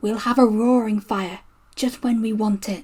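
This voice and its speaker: A put-on character voice, fairly high in pitch, at a moderate pace. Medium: read story. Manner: polite, matter-of-fact.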